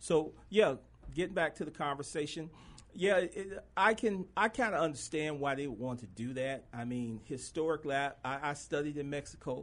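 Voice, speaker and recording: A man's fairly high-pitched voice with lively intonation at a moderate pace, over a quiet background. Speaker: fill-in radio host. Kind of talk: casual radio talk show. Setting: studio. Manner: animated, joking.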